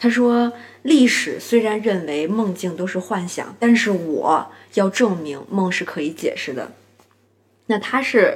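An unremarkable speaking voice with lively intonation moves at a fairly slow pace. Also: woman. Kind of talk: book review monologue. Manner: casual with many fillers.

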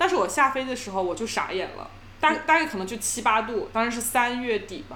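A woman speaks at a fairly quick pace in a high voice, her loudness swinging widely, with noticeable noise in the background. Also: lively intonation. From China. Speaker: podcast co-host. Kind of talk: casual chat.

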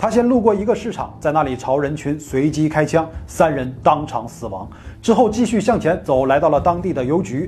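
Vocal fry from a man with a fairly high pitch and very wide pitch swings. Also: moderate pace, hardly any pauses. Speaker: true crime narrator. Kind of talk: true-crime narration. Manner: steady, grave storytelling pace, tense and dramatic; fairly formal, measured, scripted-sounding.

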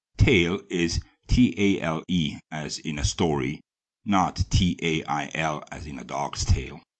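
Very slowly and with big swings in loudness, a man speaks in a very deep, low voice with vocal fry and ordinary pitch variation. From Germany. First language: German. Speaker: history podcaster. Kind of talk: scripted narration.

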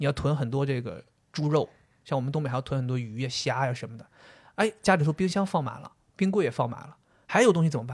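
Very fast but broken by long, frequent pauses, a man speaks in a fairly high, somewhat breathy voice with an animated tone and big swings in loudness. The recording is very clean, with a silent background. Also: ordinary pitch variation. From Liaoning, Northeast China. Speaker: podcast co-host. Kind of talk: casual chat.

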